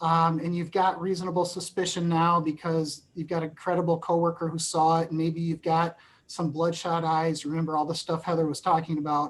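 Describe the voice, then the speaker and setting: This woman speaks at a moderate pace. Her pitch sits fairly low. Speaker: employment lawyer. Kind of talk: webinar presentation. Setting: webinar.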